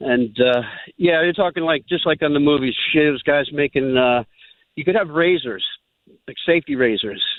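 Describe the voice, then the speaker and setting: This is an unremarkable speaking voice, its pitch varying in an ordinary way as it moves along at a moderate pace. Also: man, fairly high pitch for a man. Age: 60s. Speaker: caller telling his life story. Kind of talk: storytelling on radio call-in.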